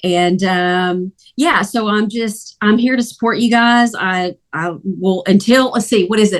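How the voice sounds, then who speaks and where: Speaking with a Southern US accent, a woman of medium pitch moves at a fairly slow pace with hardly any pauses. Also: ordinary pitch variation. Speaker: freelance recruiter. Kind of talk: casual group video meeting.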